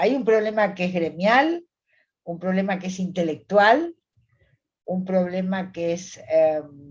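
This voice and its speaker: A woman speaks at a very slow pace in a somewhat breathy, medium-pitched voice. Her pitch varies in an ordinary way. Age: 70s. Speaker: psychologist. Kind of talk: interview conversation.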